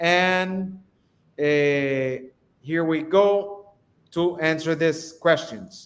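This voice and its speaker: A man with a Spanish accent speaks at a very slow pace in a high pitch with ordinary pitch variation, leaving long, frequent pauses. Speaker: real estate live stream host. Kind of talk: live stream interview.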